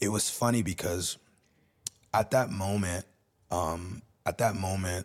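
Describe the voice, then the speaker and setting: A man speaks in a very deep, low pitch, somewhat breathy, with fairly even intonation. The recording is very clean, with a silent background. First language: Spanish. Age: 30s. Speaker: music producer and DJ. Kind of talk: casual chat.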